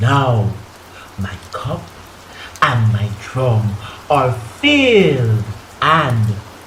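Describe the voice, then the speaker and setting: There is noticeable background noise around a man speaking at a medium pitch. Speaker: spoken word poet. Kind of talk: spoken word poetry performance.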